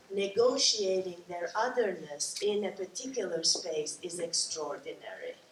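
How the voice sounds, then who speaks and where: A fairly slow pace against noticeable background noise. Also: woman. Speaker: panelist, sociologist. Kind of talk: panel discussion.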